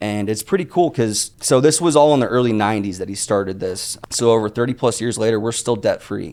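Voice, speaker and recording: Using a normal speaking voice, a man with an American accent talks at a fairly quick pace and medium pitch, with lively intonation and hardly any pauses. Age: 30s. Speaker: entrepreneur. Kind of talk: interview.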